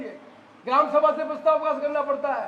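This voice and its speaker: Audible room echo surrounds a man's voice. He speaks at a moderate pace with an extremely high pitch. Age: 70s. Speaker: politician. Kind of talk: political rally speech.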